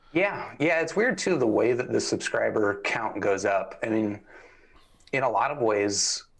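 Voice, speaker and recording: A man of medium pitch speaks at a fairly slow pace. His pitch swings very widely. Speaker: headphone reviewer. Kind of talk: casual interview. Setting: live stream.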